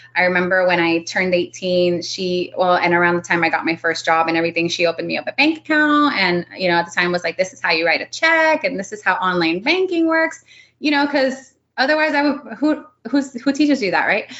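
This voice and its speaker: Talking at a fairly quick pace in a Miami accent, a woman with a medium pitch makes very wide pitch swings. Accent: Miami American English. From Miami, Florida. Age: 30s. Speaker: real estate investor. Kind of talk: interview. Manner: casual, filler-heavy.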